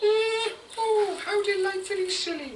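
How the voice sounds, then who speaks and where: In a squeaky, cartoonish character voice, a female-sounding speaker talks at a fairly slow pace with extremely high pitch over clear background noise. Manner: dreamy, humming "mm" before speaking.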